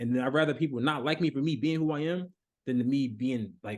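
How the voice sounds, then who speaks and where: A man talks in a dark, mellow tone with normal pitch variation against a quiet background. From Baltimore. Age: 20s. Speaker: mentor and coach. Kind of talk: podcast interview. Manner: halting.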